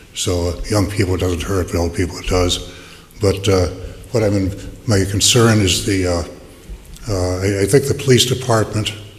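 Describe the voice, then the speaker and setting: A man speaks at a fairly low pitch and moderate pace, with ordinary pitch variation and long, frequent pauses. Noticeable background noise and audible room echo are present. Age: 70s. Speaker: public commenter at city council. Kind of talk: public comment at hearing. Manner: halting, many repetitions and fillers.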